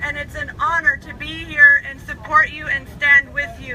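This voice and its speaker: Noticeable background noise runs under the recording. A woman speaks with an American accent. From Washington State, Puyallup tribe. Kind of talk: rally speech.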